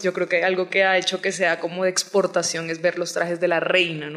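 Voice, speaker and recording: In a Colombian Caribbean accent, a woman speaks at a moderate pace. Her pitch is fairly low and her intonation monotone and flat. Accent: Colombian coastal (costeño), noticeable. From Colombian Caribbean coast, Barranquilla. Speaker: novelist. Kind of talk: interview.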